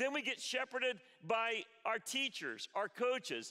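A man speaks in a raised, projected voice. His pace is fairly slow. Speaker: pastor. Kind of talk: sermon. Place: church. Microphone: headset.

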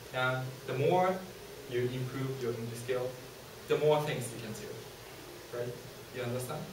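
A man speaks at a moderate pace with a medium pitch and ordinary pitch variation. Noticeable background noise and audible room echo are present. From Japan. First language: Japanese. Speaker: university student presenter. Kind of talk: student presentation. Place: classroom. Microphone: camera far.

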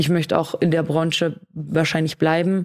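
A woman speaks at a moderate pace in a very deep, low voice, recorded very cleanly against a silent background. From Austria. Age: 20s. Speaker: streamer. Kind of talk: interview.

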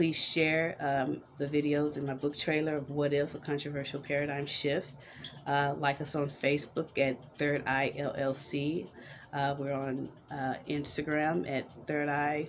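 Over faint music, a woman with an American accent speaks in a very deep, low, monotone voice at a fairly slow pace. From Houston, Texas (Fifth Ward); Texas. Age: 30s. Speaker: vlogger and entrepreneur; vlogger. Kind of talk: casual vlog monologue. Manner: halting, many fillers. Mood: friendly, smiling. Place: home room. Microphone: webcam.

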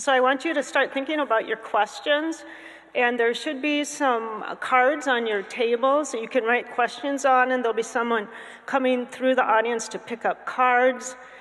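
Her pitch is high and her intonation fairly even. This woman keeps a moderate pace. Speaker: panel moderator. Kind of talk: moderator introduction. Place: hall. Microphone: podium.

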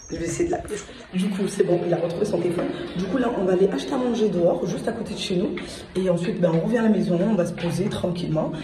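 Over noticeable background noise, a woman talks very fast with ordinary pitch variation. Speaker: vlogger. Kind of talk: casual vlog chat. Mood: cheerful, slightly excited. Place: home room. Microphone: phone near.

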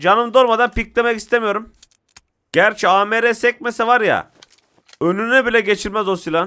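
With long, frequent pauses at a moderate pace, a man speaks in a raised, projected voice, high in pitch, with an animated and bright, sharp tone. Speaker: gaming YouTuber. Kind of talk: live gameplay commentary.

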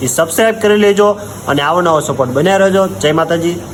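A man speaks in a high voice with ordinary pitch variation. Noticeable background noise runs under the recording. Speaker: vlogger. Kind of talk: prank phone call.

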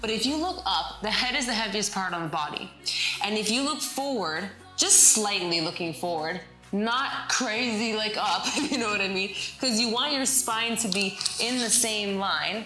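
A woman's voice carries audible room echo, with faint music in the background. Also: moderate pace. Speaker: fitness instructor. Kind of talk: tutorial. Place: home room.

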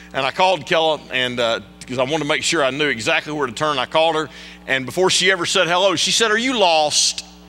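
Speech rushes by at a very fast pace with music in the background. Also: man, ordinary pitch variation. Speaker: guest preacher. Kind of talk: sermon. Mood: warm, humorous. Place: church. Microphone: podium.

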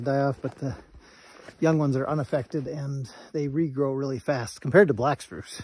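The man speaks at a moderate pace with ordinary pitch variation, in a dry sound with no echo and light background noise. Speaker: nature guide. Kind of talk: casual vlog chat. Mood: cheerful, laughing. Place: forest. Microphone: phone near.

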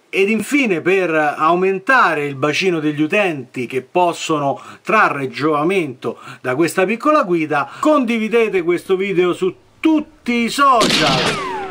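A man's raised, projected voice, high for a man, with a bright, sharp tone and very wide pitch swings, over a quiet background. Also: fairly slow pace. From Italy. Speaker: firearms channel host. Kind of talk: tutorial. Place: home room. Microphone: phone near.

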